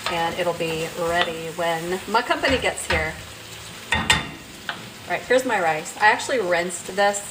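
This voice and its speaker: With noticeable background noise behind her, a woman speaks at a fairly low pitch with fairly even intonation. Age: 60s. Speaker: cooking channel host. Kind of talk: live cooking demonstration. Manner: casual, chatty.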